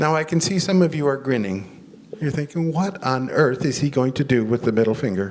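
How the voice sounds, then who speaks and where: Speaking with an American accent in a plain, everyday voice, a man keeps a fairly quick pace with hardly any pauses, his fairly high pitch carrying lively intonation. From United States. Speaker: chaplain and guest preacher. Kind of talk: sermon.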